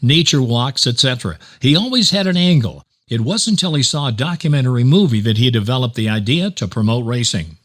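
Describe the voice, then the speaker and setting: On a very clean recording with a silent background, a man with an American accent talks at a fairly quick pace in a medium pitch, with very wide pitch swings. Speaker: race announcer. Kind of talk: audiobook narration of a magazine article.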